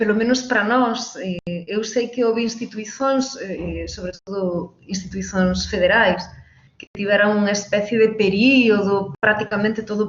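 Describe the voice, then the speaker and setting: This woman's voice rests at a medium pitch. The intonation is fairly even. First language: Galician (speaking Portuguese). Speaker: university education professor and coordinator. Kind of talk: live online interview. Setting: live stream from new apartment. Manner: deliberately slow.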